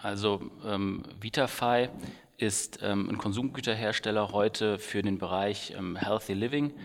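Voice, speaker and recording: In an ordinary speaking voice, a man talks at a fairly slow pace with a fairly low pitch and fairly even intonation. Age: 30s. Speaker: startup founder. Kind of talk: interview.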